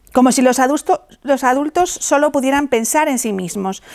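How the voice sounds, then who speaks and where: A woman with a warm, playful tone and lively intonation at a moderate pace, over a quiet background. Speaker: theatre group actor reading a speech as a Three Kings character. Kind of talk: scripted reading of a festive proclamation, in character. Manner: warm, playful with a laugh, then earnest. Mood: warm, festive, earnest. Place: studio. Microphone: lapel.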